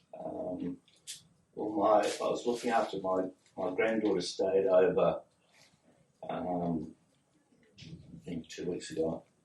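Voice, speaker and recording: Big swings in loudness from a man with an Australian accent, fairly low-pitched and somewhat breathy, with lively intonation, a fairly slow pace and long, frequent pauses. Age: 60s. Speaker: patient. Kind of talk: medical history interview. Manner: halting.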